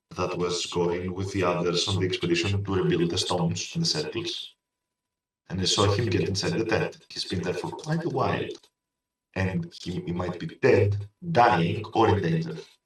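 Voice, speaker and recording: Moderate pace from a man with a very deep, low pitch, somewhat breathy, with ordinary pitch variation and audible room echo. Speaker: tabletop game player. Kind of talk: tabletop role-play chat. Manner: whispering in character.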